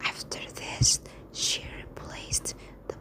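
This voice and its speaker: Someone is whispering at a very slow pace, with noticeable background noise. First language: not English. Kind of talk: whispered ASMR bedtime story reading. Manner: whispered.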